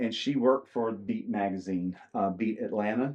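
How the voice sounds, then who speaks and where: Against a quiet background, a man with a Southern US accent speaks fairly slowly with fairly even intonation. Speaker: country musician. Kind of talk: casual interview. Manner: halting with many fillers.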